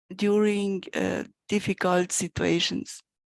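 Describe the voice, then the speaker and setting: A woman with a Spanish accent, very slow, fairly even in intonation, dry and close with no echo. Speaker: course participant. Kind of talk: thank-you speech. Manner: halting.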